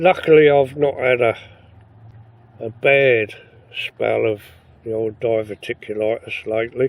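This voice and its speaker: A man with an English accent talks fairly slowly at medium pitch, with ordinary pitch variation and long, frequent pauses. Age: 70s. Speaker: camping vlogger. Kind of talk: casual vlog monologue. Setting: inside a tent. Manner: halting.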